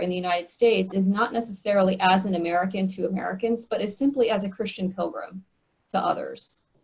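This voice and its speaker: Somewhat breathy, a woman's voice moves along at a fairly quick pace. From US, Korean American family. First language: Korean. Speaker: speaker on church mission. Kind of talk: Q&A discussion at online meeting.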